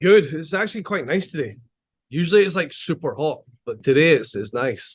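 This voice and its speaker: A man with a Scottish accent, fairly high pitch, vocal fry, lively intonation and a fairly quick pace. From Scotland. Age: 40s. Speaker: chef. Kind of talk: casual chat.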